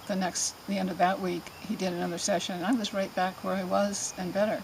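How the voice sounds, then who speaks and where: A woman's medium-pitched voice is heard against noticeable background noise. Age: 70s. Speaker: patient giving a testimonial. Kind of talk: testimony. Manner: halting, with many fillers.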